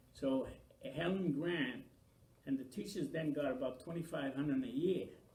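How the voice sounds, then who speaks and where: Room echo can be heard around the voice. A man talks fairly slowly. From Maine, US (Franco-American). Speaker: oral history interviewee. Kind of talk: oral history interview.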